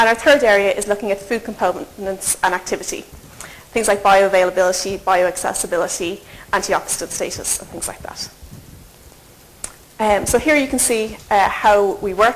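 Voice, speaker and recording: Speaking at medium pitch with ordinary pitch variation, a woman shows big swings in loudness and leaves long, frequent pauses. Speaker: nutrition researcher. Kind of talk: lecture. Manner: fast.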